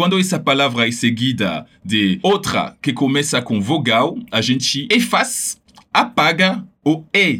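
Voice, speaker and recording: With a French accent, a man talks very slowly in a fairly high pitch, his vocal fry and very wide pitch swings set against very even loudness. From France, Paris. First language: French (speaking Portuguese). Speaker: language teacher. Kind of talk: pronunciation tutorial.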